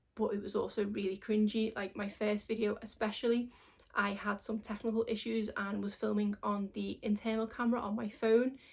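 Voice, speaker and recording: A fairly high-pitched woman, somewhat breathy, fast-ish and monotone, with flat intonation. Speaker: beauty vlogger. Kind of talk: casual vlog talk.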